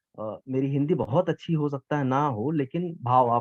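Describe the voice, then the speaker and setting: His intonation is lively. The man's voice sits at a medium pitch. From eastern Uttar Pradesh, India. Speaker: geography teacher and competition judge. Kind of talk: vote of appreciation at an event. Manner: informal, with hesitations.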